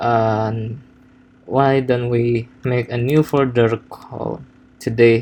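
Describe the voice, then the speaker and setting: Speaking very slowly with a non-native accent, a man keeps his intonation monotone and flat. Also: medium pitch for a man. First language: not English. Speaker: software developer. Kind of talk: coding tutorial. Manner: halting, many fillers and repetitions.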